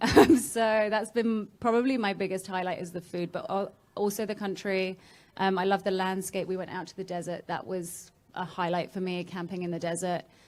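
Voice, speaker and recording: In an English accent, a woman talks at a fairly quick pace with medium pitch and ordinary pitch variation. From England. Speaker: travel blogger. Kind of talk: panel discussion.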